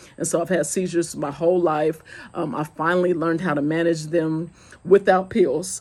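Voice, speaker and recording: A woman's fairly even intonation on a fairly low pitch. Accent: Southern US. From US South, Goose Creek, South Carolina. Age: 40s. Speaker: vlogger. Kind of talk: casual chat.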